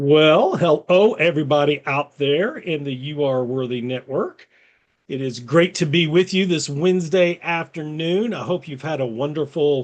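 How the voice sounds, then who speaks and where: With a fairly high pitch and ordinary pitch variation, a man delivers his words at a moderate pace in an ordinary speaking voice. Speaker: podcast host. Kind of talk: casual show host introduction.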